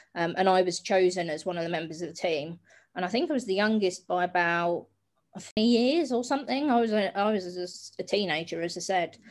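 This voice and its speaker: With a southern English accent, a woman speaks at a fairly quick pace and medium pitch, showing ordinary pitch variation in a very clean recording with a silent background. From south coast of England (Hastings). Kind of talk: interview conversation.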